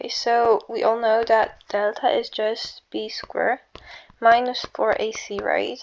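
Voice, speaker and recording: The pace is very slow. The background is quiet. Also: woman. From Slavic country. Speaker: math tutor. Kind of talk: casual math tutorial. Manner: casual, hesitant.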